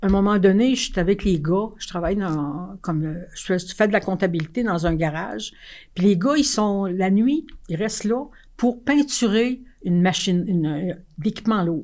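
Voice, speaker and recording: A woman with a Quebec accent at a moderate pace. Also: medium pitch for a woman, lively intonation. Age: 80s+. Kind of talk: interview answer. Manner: energetic, frank.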